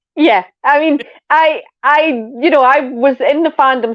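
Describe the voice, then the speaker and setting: A woman with a Scottish accent and a high pitch. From Scotland. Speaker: podcast co-host. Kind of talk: casual chat.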